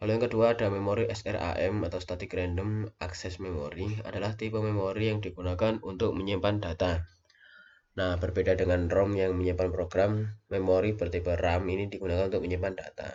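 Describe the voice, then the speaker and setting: A man speaks at a fairly quick pace with a very deep, low pitch. His intonation is monotone and flat, and his voice is somewhat breathy. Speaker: university lecturer / lab instructor. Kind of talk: recorded lecture tutorial. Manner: hesitant, many fillers.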